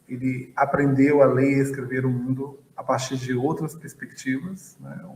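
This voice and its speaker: A man with a northeastern Brazilian accent speaks very slowly in a medium pitch. His intonation is monotone and flat, and there is noticeable background noise. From Bahia, Brazil (Feira de Santana). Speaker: physics professor and astrophysicist. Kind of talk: interview.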